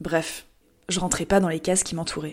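A woman talks in a fairly low pitch with monotone, flat intonation. The recording is very clean, with a silent background. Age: 20s. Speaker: podcast host. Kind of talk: scripted personal narration.

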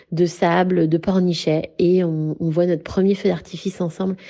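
A woman with a dark, mellow tone speaks at a fairly low pitch and a fairly slow pace. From western France, near Saint-Nazaire. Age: 30s. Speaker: interviewee sharing love story. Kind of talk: personal testimony. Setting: voice messages recorded on phone. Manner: hesitant, with fillers.

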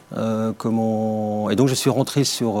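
A man speaks at a fairly slow pace. His medium-pitched voice keeps fairly even intonation. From Brittany, France. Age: 40s. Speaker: company CEO. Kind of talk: interview. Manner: halting, many fillers.

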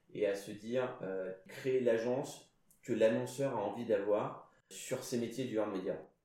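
A man talks at a fairly slow pace and a medium pitch, his tone dark and mellow with vocal fry. His intonation is fairly even, and room echo is audible. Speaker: CEO of a PR agency. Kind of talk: casual interview.

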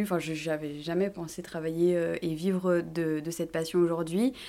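A woman speaks at a moderate pace in a fairly low pitch, with a normal speaking voice. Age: 30s. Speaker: influencer and fashion entrepreneur. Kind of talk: interview.

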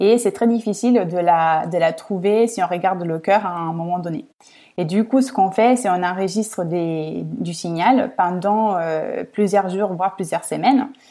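A woman speaks at a fairly slow pace in an Italian accent, her pitch medium with ordinary variation. Her tone is dark and mellow, on a very clean recording with a silent background. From Italy, Rome. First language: Italian (speaking French). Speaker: senior product manager at a medtech startup. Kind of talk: interview. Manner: hesitant, many fillers.

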